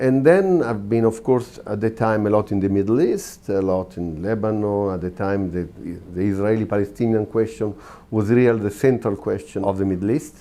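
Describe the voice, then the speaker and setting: This man's voice sits at a fairly low pitch with a dark, mellow tone. He moves at a moderate pace with ordinary pitch variation. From Italy. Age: 60s. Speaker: war correspondent. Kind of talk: interview. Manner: halting.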